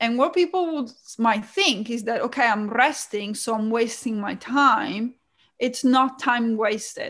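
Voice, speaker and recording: A woman with an Italian accent speaks fairly slowly at a high pitch, using ordinary pitch variation. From Italy.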